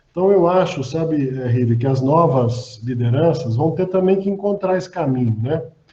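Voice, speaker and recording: Audible room echo surrounds a man whose fairly high voice carries lively intonation. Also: moderate pace, hardly any pauses. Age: 60s. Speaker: physician and hospital executive. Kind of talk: panel discussion.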